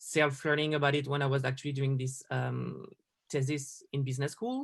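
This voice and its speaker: Someone with a French accent speaks at a moderate pace and with fairly even intonation against a quiet background. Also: man. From France. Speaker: designer. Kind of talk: interview.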